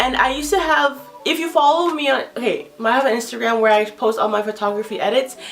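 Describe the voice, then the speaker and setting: A woman with an American accent and lively intonation, music in the background. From US, Nigerian parents. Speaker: YouTuber. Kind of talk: vlog monologue. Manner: fast, jumbles words.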